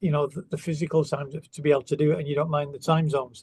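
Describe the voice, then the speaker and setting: A man with a Manchester accent and a fairly high pitch. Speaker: guitar company representative. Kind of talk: interview. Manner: hesitant, many fillers.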